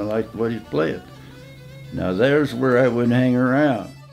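With faint music in the background, a man in a Midwestern US accent speaks with ordinary pitch variation. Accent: rural Midwestern American. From southeastern Indiana. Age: 80s+. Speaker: old-time fiddler; war veteran. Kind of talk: interview answer. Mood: reminiscing, relaxed. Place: home room.

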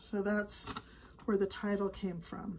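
A woman's somewhat breathy voice carries a dark, mellow tone. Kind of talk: casual vlog chat. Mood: warm, reflective. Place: home room. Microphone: phone near.

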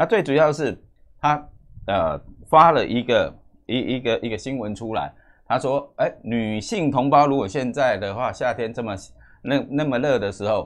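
A man with a Taiwanese accent talks at a moderate pace with ordinary pitch variation and long, frequent pauses over a quiet background. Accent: Taiwanese Mandarin. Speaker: news commentary host; news commentator. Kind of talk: news commentary monologue; current affairs commentary. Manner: halting, many fillers and repetitions.

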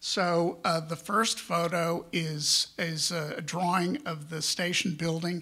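A man with an American accent talks at a very slow pace in a high pitch and a monotone, flat intonation, with a bright, sharp tone against a quiet background. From Texas, San Antonio; Texas. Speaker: media and real estate businessman, panelist; panelist. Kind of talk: conference panel talk. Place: hall.

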